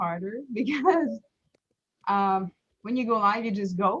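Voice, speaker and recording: The woman's voice is fairly high-pitched, bright and sharp. Her pitch varies in an ordinary way. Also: dry, close sound with no echo. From Quebec, Montreal. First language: French. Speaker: small business owner. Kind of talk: live stream interview. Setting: Facebook live stream. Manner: halting, many fillers.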